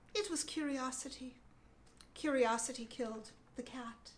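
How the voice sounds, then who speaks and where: This squeaky, put-on character voice moves at a moderate pace. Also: woman, high pitch for a woman. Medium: read story.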